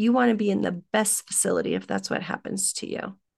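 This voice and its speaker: A woman talks at a moderate pace. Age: 50s. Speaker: business coach and event strategist. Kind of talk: interview. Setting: remote call.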